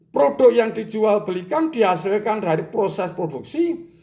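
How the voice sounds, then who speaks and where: A man with a high pitch and very wide pitch swings talks at a fairly slow pace, with audible room echo in the recording. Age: 70s. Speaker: business educator, retired entrepreneur. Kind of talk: lecture.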